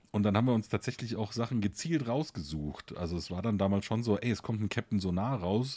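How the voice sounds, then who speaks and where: With hardly any pauses, a man talks fairly quickly in a fairly low pitch and a dark, mellow tone, his pitch varying in an ordinary way. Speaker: teacher and board game podcaster. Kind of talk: casual chat. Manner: talkative.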